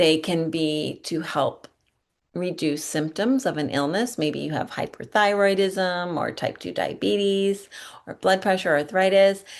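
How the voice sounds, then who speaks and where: A woman with an ordinary speaking voice, fairly low in pitch, at a fairly slow pace with ordinary pitch variation against a quiet background. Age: 50s. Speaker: yoga studio owner and teacher. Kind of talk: webinar presentation.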